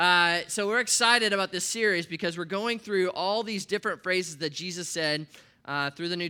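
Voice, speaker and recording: A man's animated, raised and projected voice with an American accent, high in pitch, bright and sharp in tone, with ordinary pitch variation and a fairly quick pace, on a very clean recording with a silent background. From US Midwest, Nebraska. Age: 40s. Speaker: pastor. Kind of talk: sermon. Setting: church.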